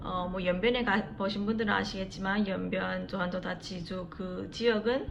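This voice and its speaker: A woman's medium-pitched voice at a very fast pace, fairly even in intonation, with audible room echo. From China, Yanbian (ethnic Korean). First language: Korean (Yanbian dialect). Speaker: vlogger. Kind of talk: casual vlog talk to camera.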